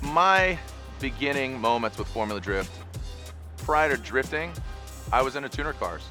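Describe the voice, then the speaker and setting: A man at a moderate pace with very wide pitch swings, music in the background. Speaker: motorsport event announcer and commentator. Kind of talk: interview answer, reflective talk about his career.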